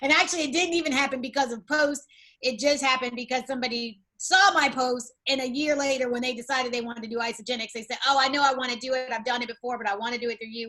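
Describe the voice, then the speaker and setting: Raising and projecting her high, bright, sharp voice, a woman talks very fast with hardly any pauses. Her intonation stays fairly even. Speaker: network marketing team leader. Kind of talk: online training session.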